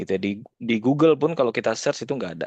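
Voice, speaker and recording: With a slight Padang accent, a man speaks in a dry, close sound with no echo. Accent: slight Padang (Minang). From West Sumatra, Indonesia. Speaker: data scientist, guest speaker. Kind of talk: informal sharing-session talk. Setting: video call. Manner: casual, with many fillers.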